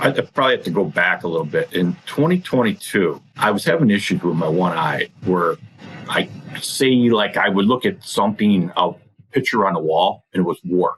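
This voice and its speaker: A man with an unremarkable speaking voice talks at a moderate pace and a fairly low pitch. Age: 60s. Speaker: coaching client sharing weight loss story. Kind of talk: interview testimony.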